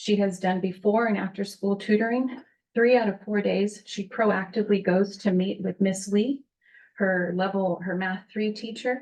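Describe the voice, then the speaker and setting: A woman speaks at a moderate pace in a medium pitch with fairly even intonation. Her voice is shaky and somewhat breathy. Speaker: parent speaking at public comment. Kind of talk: public comment at board meeting. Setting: public board meeting.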